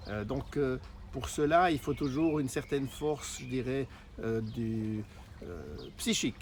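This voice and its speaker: A man speaks at a very slow pace with ordinary pitch variation. Long pauses come often. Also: medium pitch for a man. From Switzerland. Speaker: network marketer. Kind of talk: sales pitch. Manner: halting, frequent hesitations.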